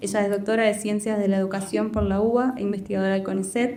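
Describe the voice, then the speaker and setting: Noticeable background noise and audible echo from the room surround a female speaker. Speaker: moderator of a university panel. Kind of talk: panel discussion moderation. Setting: screening room with audience. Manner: hesitant, many fillers.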